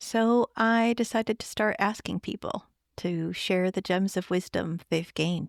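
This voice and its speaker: A woman with an American accent speaks fairly slowly at a medium pitch, with lively intonation and an unremarkable speaking voice. The sound is dry and close with no echo, a very clean recording with a silent background. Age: middle-aged. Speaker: podcast host. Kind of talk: podcast interview; scripted introduction.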